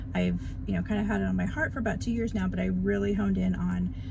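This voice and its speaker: A soft-spoken woman talks amid noticeable background noise. Audible room echo colors the recording. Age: 50s. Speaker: beginner YouTuber vlogger. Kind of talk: casual vlog talk to camera.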